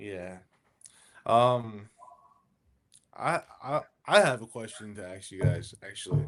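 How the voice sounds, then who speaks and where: At a very slow pace with long, frequent pauses, a man with an American accent and a fairly low pitch shows ordinary pitch variation and big swings in loudness. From Miami, Florida. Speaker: automotive technician. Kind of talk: casual chat.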